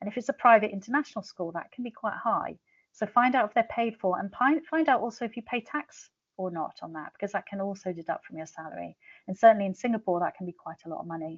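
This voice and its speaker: At a very fast pace, a woman speaks at medium pitch with lively intonation and big swings in loudness. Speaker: international education author. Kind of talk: webinar presentation.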